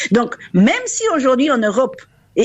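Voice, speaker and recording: A woman talks at a moderate pace, her pitch swinging very widely. Vocal fry runs through her voice. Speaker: university rector. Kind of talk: radio interview. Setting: phone call.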